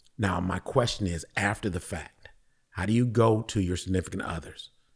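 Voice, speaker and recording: An animated man at a fairly low pitch, moderate pace and ordinary pitch variation. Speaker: podcast guest. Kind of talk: casual discussion. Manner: loud.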